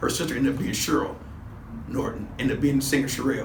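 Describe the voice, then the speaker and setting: Speaking at a very fast pace with an American accent, a man has a fairly high pitch, heard over noticeable background noise with audible room echo. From Los Angeles, US. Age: 60s. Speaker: former gang member. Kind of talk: interview. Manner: casual, halting.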